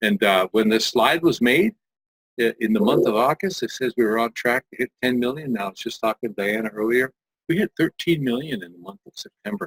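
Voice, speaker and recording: Heard dry and close with no echo, a man with an ordinary speaking voice talks at a fairly quick pace, his medium pitch moving with lively intonation. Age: 60s. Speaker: multi-level marketing distributor. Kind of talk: sales pitch.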